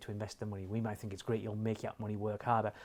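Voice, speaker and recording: A man speaks with a northeast English accent at a fairly low pitch. The recording is very clean, with a silent background. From northeast England. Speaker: financial advisory chief executive. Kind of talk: interview.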